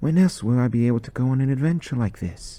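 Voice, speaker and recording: A man's voice over noticeable background noise. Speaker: author reading his own short story. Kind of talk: dramatic reading of a war short story. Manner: narrating with put-on accents for characters.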